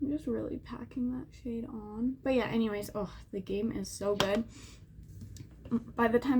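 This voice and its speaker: A woman with a fairly high pitch speaks, her pitch varying in an ordinary way. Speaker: beauty YouTuber. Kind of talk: makeup tutorial chat. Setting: home, window open. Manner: mumbling.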